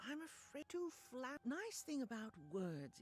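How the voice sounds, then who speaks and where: Someone performs a put-on character voice over clear music in the background. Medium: video game. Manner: theatrical, relishing.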